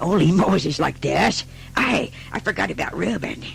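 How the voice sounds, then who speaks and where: In a put-on character voice, the speaker sounds raspy at a middle pitch and moderate pace, with clear background noise. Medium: read story.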